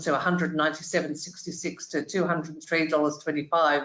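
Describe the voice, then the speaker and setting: Speaking in an Australian accent, a woman with a very deep, low pitch keeps a monotone, flat intonation at a fairly quick pace. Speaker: hospitality industry executive. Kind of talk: panel discussion.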